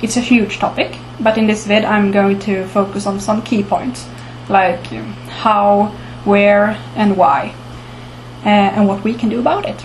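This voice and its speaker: In a Swedish accent, a woman speaks at medium pitch and a fairly slow pace with ordinary pitch variation and long, frequent pauses, with audible room echo and noticeable background noise. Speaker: archaeology commentator. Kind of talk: informal talk to camera. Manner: halting, many filler words.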